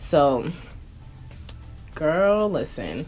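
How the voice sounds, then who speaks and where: A woman speaks with music in the background. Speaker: beauty YouTuber and makeup artist. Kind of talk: casual chat while getting ready. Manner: animated.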